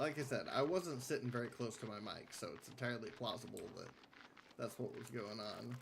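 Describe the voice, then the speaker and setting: A man speaks at a fairly quick pace in a medium-pitched voice. His pitch variation is ordinary. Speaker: game streamer. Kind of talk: live game stream chat. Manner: quiet, lowered voice. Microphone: sitting far from the mic.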